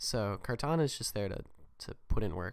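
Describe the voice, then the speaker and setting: Soft-spoken and at a moderate pace, a man talks in a very clean recording with a silent background. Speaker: gaming YouTuber. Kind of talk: gameplay commentary. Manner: quiet, soft. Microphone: holding mic close to be louder.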